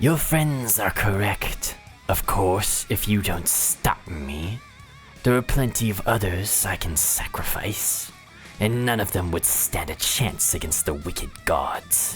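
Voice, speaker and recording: A put-on character voice at a low pitch speaks at a fairly slow pace over clear music in the background. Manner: smug, theatrical.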